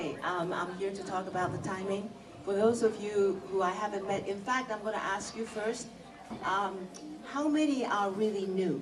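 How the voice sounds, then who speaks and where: A woman with a Japanese accent speaks at a moderate pace and medium pitch, with ordinary pitch variation. Noticeable background noise and audible room echo surround her. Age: 60s. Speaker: motivational speaker at business meeting. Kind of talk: motivational talk.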